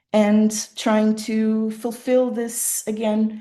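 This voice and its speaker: A woman is talking here. Her voice sits fairly high. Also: quiet background. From western rural Portugal, Portuguese-German family. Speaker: designer giving keynote talk. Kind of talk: conference presentation. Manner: halting, many fillers.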